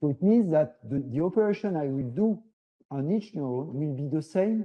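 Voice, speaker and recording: A man speaks with a French accent at a moderate pace. His pitch is fairly high and his intonation lively. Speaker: professor. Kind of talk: lecture. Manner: halting, many fillers.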